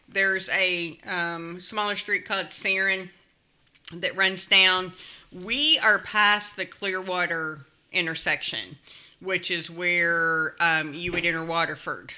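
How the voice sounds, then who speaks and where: At a very slow pace, a woman speaks with a Kentucky accent and fairly even intonation. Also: medium pitch for a woman. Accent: Kentucky Southern US. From Louisville, Kentucky. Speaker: neighborhood resident. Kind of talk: casual chat.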